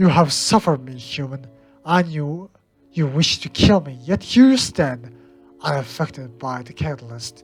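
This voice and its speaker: Faint music plays behind a put-on character voice. The voice sits at a low-to-middle pitch and moves at a moderate pace. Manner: menacing, ominous.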